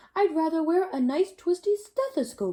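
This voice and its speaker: A woman uses a squeaky, put-on character voice at an extremely high pitch. Her pitch swings very widely, and her pace is moderate. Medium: read story.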